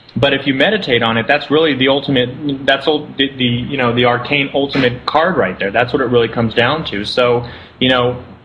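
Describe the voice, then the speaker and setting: Amid noticeable background noise, a man with an American accent speaks at a fairly quick pace with fairly even intonation. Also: medium pitch for a man. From Southern California. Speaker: spiritual center founder. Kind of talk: interview.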